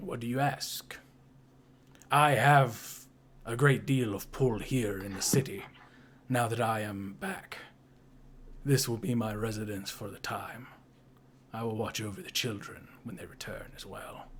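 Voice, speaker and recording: A man puts on a raspy character voice at medium pitch, speaking at a moderate pace with ordinary pitch variation, big swings in loudness, and long, frequent pauses. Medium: actual play. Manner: formal, measured.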